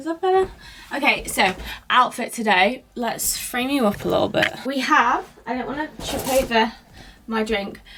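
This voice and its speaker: Someone talks loudly at a moderate pace with a British accent and lively intonation over noticeable background noise. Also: woman, high pitch for a woman. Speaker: lifestyle vlogger. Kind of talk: casual vlog chat.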